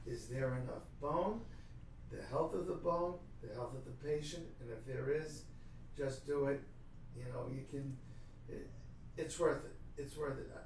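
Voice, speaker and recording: A man's fairly high voice with a New York accent, at a fairly slow pace with ordinary pitch variation and long, frequent pauses, amid audible room echo and noticeable background noise. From New York City, Brooklyn. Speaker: dentist. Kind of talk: interview.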